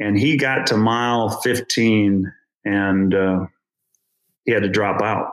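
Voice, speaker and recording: This man talks at a very slow pace, leaving long, frequent pauses. His pitch is fairly low, with fairly even intonation and very even loudness. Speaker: amateur runner. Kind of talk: interview conversation.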